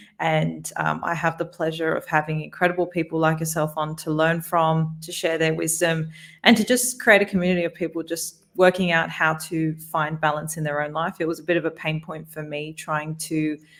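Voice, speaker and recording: With an Australian accent, a woman speaks at a very deep, low pitch with fairly even intonation and hardly any pauses. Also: moderate pace. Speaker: podcast host and corporate lawyer. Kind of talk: interview conversation.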